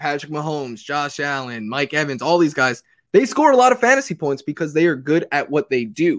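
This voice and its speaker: A man speaks in an ordinary speaking voice, fairly high in pitch. The sound is dry and close, with no echo. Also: lively intonation, fairly quick pace, very clean recording, silent background. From New York City. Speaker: fantasy football analyst. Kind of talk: casual chat.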